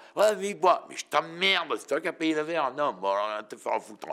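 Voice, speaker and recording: Bright and sharp in tone, the voice has lively intonation over a quiet background. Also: man. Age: 70s. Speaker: interviewee. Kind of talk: casual interview. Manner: animated. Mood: defiant, blunt. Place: studio.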